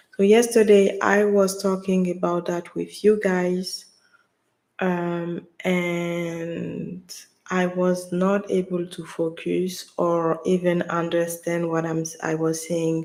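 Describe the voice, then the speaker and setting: Very slow speech in a French accent comes with monotone, flat intonation. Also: woman, fairly low pitch for a woman. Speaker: livestreamer, wellness content creator. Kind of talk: casual livestream talk. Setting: live stream at home. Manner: halting, with pauses and silences. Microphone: USB mic, sound issue if touched.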